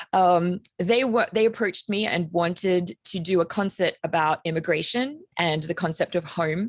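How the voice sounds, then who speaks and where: Fairly low-pitched woman's voice in an Australian accent, moderate pace with hardly any pauses, ordinary pitch variation, and a dry, close sound with no echo. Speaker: composer. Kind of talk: panel discussion.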